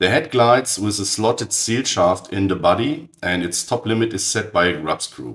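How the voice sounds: The voice is raspy with a fairly bright tone and moves at a moderate pace. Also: man, fairly low pitch for a man, ordinary pitch variation.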